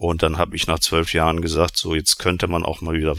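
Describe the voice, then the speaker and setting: Very deep and low in pitch, the man's voice has a bright, sharp tone. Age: 50s. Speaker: insurance association department head. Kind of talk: panel discussion.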